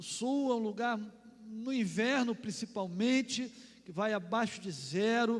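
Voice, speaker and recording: An animated, high-pitched male voice with a Carioca accent, in audible room echo. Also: ordinary pitch variation. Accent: Carioca (Rio) accent, still noticeable. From Rio de Janeiro, Brazil. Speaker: pastor. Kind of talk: sermon.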